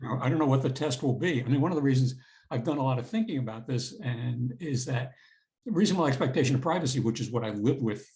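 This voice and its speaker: A man with an American accent speaks at a very fast pace in a dark, mellow, somewhat breathy medium-pitched voice with ordinary pitch variation. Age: 70s. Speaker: retired federal prosecutor and law professor. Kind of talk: interview.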